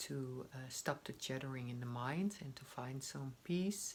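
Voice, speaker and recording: A woman speaks at a very deep, low pitch. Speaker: meditation guide. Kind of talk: guided meditation intro. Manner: hesitant, many fillers.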